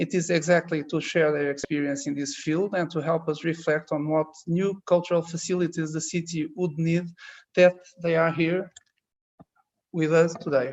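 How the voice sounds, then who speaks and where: Someone with a Portuguese accent talks at a moderate pace. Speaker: architecture teacher moderating a talk. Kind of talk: formal introduction of guests.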